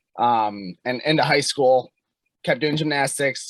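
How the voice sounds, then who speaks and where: This man speaks with a Chicago accent and fairly even intonation. The sound is dry and close with no echo. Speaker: hockey and strength coach. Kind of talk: casual podcast interview.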